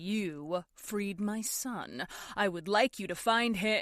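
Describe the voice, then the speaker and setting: A woman's put-on character voice at a medium pitch, very slow in pace. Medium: read story. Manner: calm, condescending.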